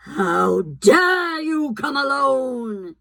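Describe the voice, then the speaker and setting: It is a put-on character voice. The pitch is high. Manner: terrible, menacing.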